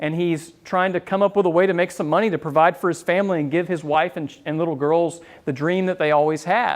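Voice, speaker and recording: A high-pitched male voice in a slight Southern US accent, fairly even in intonation, with hardly any pauses. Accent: Southern drawl, mild. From US South, Florida. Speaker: business owner and marketing speaker. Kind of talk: talk to a live audience. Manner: casual, with many fillers.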